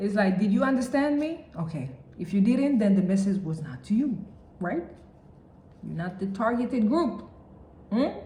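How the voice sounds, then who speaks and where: A woman with a medium pitch swings very widely up and down at a moderate pace. She leaves long, frequent pauses, and the room echo is audible. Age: 30s. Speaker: vlogger. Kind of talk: personal vlog monologue. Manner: conversational, many fillers.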